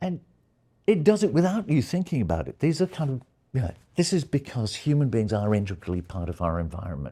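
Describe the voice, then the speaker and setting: On a very clean recording with a silent background, a man talks very fast at a medium pitch, his dark, mellow tone somewhat breathy and his pitch swinging very widely. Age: 70s. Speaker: retired media scholar. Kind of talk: lecture. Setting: seminar room with live audience. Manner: hesitant, with many fillers.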